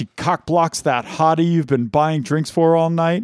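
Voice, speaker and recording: A man speaks in a plain, everyday voice at a moderate pace with a fairly high pitch. The recording is very clean with a silent background and has a dry, close sound with no echo. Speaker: podcast host.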